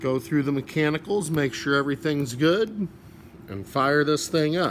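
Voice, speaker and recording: With light noise behind him, a man speaks at a moderate pace, his pitch varying in an ordinary way. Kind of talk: casual walkaround commentary. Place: garage. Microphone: phone near.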